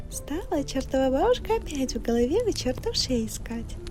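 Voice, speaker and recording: Someone whispers with music in the background. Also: woman. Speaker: ASMR storyteller. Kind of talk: reading aloud. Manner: whispering; soft-spoken.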